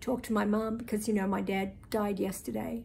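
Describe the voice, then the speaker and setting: The voice has a dark, mellow tone with vocal fry. Audible room echo surrounds it. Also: woman. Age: 70s. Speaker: vlogger. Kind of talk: casual video diary. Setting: hotel room in quarantine.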